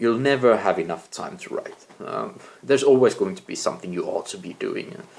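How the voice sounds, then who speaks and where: Amid noticeable background noise, a man with a non-native accent speaks at a fairly quick pace, with big swings in loudness. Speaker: amateur novelist, vlogger. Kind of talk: casual vlog talk. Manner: halting, with many fillers.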